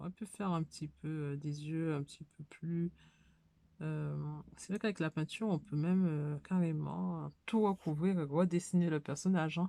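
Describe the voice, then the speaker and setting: A woman's very deep, low voice, dark and mellow in tone, with fairly even intonation, long, frequent pauses and a dry, close sound with no echo. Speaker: hobby YouTuber. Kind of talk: casual tutorial. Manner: hesitant, many fillers.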